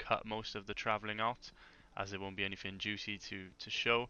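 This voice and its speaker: With a British accent, a man talks in a fairly low pitch using monotone, flat intonation. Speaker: gaming youtuber. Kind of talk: gameplay commentary. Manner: hesitant, many fillers.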